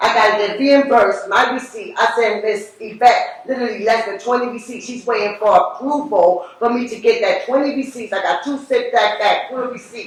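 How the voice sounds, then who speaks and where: A woman's loud, high, animated voice at a fairly quick pace with hardly any pauses and ordinary pitch variation, over noticeable background noise. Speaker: public housing tenant giving public comment. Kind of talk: public comment at board meeting. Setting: public board meeting. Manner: animated, emotional.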